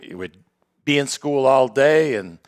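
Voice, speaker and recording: A man with a Boston accent talks in a dry, close recording with no echo. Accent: Boston-area New England. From Lawrence, Massachusetts. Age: 70s. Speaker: podcast host. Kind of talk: casual chat. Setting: studio with live audience.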